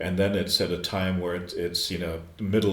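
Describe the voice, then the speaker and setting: With an American accent, a man speaks at a moderate pace in a very deep, low monotone with flat intonation, and the room echo is audible. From US Midwest, Chicago. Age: 70s. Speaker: screenwriter and former radio broadcaster. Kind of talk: podcast interview. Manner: halting, frequent repetitions.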